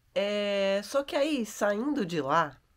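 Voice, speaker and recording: A quiet woman's voice with lively intonation, on a very clean recording with a silent background. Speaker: travel vlogger. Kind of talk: vlog reflection monologue. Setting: yoga and holistic therapy house. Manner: casual and chatty; speaking quietly.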